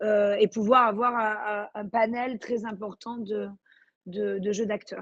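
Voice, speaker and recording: Very slowly, a woman speaks in a fairly high pitch with a monotone, flat intonation. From Marseille, southern France. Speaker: actress. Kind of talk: interview. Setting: remote video call. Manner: hesitant, many fillers.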